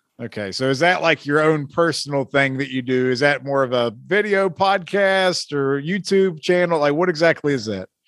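A man speaks in a normal speaking voice, fairly high in pitch, with lively intonation and hardly any pauses. The recording is very clean, with a silent background. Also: moderate pace. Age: 40s. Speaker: sports podcast host. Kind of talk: casual interview chat; show intro. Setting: home studio.

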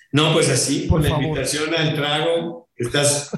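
Audible room echo around a man's fairly slow speech. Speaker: rock drummer. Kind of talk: interview.

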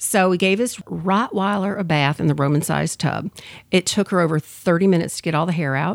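At a fairly quick pace, a woman with an American accent talks in a fairly low pitch with vocal fry and ordinary pitch variation, in a very clean, dry, close recording with no echo and a silent background. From US Midwest, suburb of Detroit, Michigan. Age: 50s. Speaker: professional organizer and crafter. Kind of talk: casual interview.

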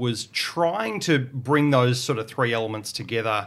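In a very clean recording with a silent background, a man with an Australian accent speaks in a bright, sharp tone with ordinary pitch variation. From Victoria, Australia (Portland). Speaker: academic. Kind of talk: panel discussion.

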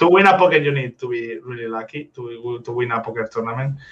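The pace is fairly quick. An accent is present, a Spanish accent. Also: man. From Spain. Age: 20s. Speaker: professional poker player. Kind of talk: interview. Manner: halting.

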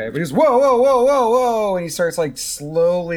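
Speech at a fairly slow pace comes through on a very clean recording with a silent background. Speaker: game master of tabletop role-play podcast. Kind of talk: actual play game narration. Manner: loud when nervous.

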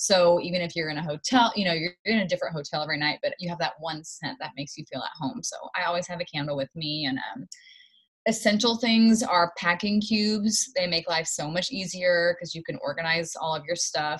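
Fairly quick and somewhat breathy, a woman speaks with a fairly low pitch. Her pitch variation is ordinary. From Knoxville, Tennessee. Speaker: musical theater actress. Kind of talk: casual interview.

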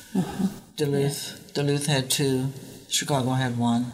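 A woman with an American accent speaks at a moderate pace, her very deep, low pitch varying in an ordinary way. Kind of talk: casual chat. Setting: convent recording room.

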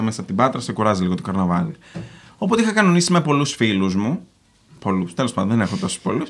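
The voice swings very widely in pitch. It moves at a very fast pace. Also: man. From Greece, Patras. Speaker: YouTuber. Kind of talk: casual chat. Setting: studio with live audience.

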